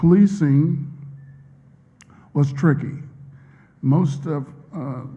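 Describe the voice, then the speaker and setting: A dark, mellow, somewhat breathy voice with an American accent comes through with audible room echo. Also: man. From US South, Vicksburg, Mississippi. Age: 60s. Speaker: professor. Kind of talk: interview answers at a public talk. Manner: hesitant, many fillers.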